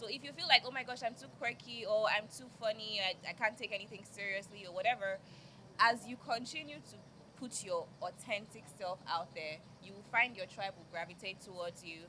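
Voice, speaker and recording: Over noticeable background noise, a woman talks at a fairly quick pace with ordinary pitch variation and big swings in loudness. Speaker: media personality. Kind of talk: panel discussion.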